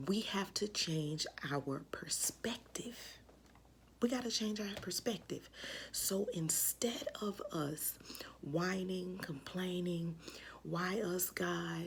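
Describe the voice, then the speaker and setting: Very slowly and with long, frequent pauses, a woman at medium pitch speaks with vocal fry and ordinary pitch variation. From Memphis, Tennessee (US South). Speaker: school counselor sharing devotional vlog. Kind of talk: casual devotional talk to camera. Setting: home craft room. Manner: casual, conversational.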